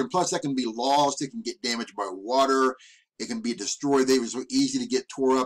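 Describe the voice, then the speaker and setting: A man talks at a fairly quick pace with lively intonation against a quiet background. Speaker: vlogger. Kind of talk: casual vlog commentary. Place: home room. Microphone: webcam.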